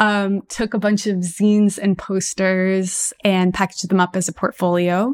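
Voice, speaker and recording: In an American accent, a woman with an ordinary speaking voice talks at medium pitch and a moderate pace, with fairly even intonation, very even loudness and hardly any pauses, in a dry, close sound with no echo on a very clean recording with a silent background. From Texas, US. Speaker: app founder and astrologer. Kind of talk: interview.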